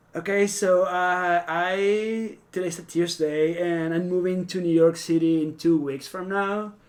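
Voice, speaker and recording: A man with a Venezuelan accent talks at a high pitch in a flat monotone. His pace is fairly slow, with hardly any pauses. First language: Spanish. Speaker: fashion stylist. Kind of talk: casual podcast interview.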